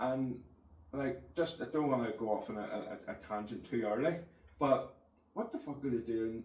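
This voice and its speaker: With a Northern Irish accent, a man speaks at medium pitch in a room with audible echo. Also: ordinary pitch variation, moderate pace. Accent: Northern Irish (Ulster). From Northern Ireland, County Antrim. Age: 40s. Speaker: podcast host. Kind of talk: casual interview chat. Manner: halting, repeats words; animated.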